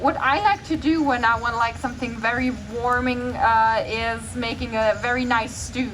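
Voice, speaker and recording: A woman's fairly high voice, with fairly even intonation, comes through noticeable background noise and audible room echo. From Germany, small town. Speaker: vegan food creator. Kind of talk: festival Q&A.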